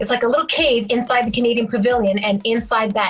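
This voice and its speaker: A woman with a fairly high pitch talks at a moderate pace, with noticeable background noise behind her. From Quebec, Canada. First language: French. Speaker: singer-songwriter. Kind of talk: interview.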